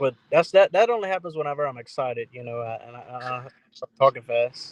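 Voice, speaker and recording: A man with a Louisiana accent, medium pitch and ordinary pitch variation, talking at a fairly quick pace with big swings in loudness, in a dry, close sound with no echo. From South Louisiana. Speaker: duck hunter. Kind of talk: casual chat. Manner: fast; slight stumble when excited.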